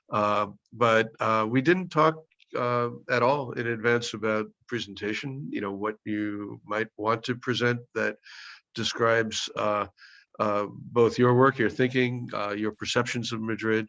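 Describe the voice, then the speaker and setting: Against a quiet background, a man with an American accent speaks fairly slowly in a medium-pitched voice with a bright, sharp tone and fairly even intonation. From US Northeast, Brooklyn. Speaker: professor leading a virtual field study. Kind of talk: video call introduction. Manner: halting, many fillers.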